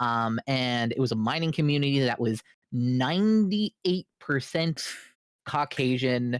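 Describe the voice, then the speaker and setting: The speech moves at a fairly slow pace. It is a very clean recording with a silent background. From Canada, Labrador (Newfoundland and Labrador). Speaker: streamer. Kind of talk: casual chat. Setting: live stream.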